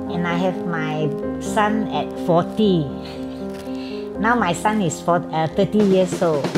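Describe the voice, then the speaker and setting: A woman speaking at a fairly slow pace, with long, frequent pauses and loud music in the background. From Singapore. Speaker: cosplayer. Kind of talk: interview answer. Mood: cheerful, warm. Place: home room.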